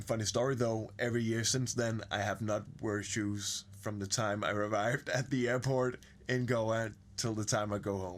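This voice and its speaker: A man with a Danish accent speaks at a moderate pace, his medium-pitched voice held in a flat monotone. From Denmark. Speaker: podcast guest. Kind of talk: casual chat.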